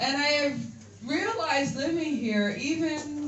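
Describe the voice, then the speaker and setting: A woman with an American accent speaks at a very slow pace, with audible room echo and noticeable background noise. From US, Philadelphia. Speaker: comedian. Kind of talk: stand-up. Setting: stage with audience. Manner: animated.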